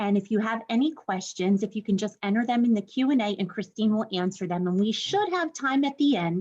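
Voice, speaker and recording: A woman talks with hardly any pauses in a fairly high, somewhat breathy voice. Her intonation is lively. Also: fairly quick pace. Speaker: university instructor and program director. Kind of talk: webinar presentation. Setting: online webinar. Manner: fast.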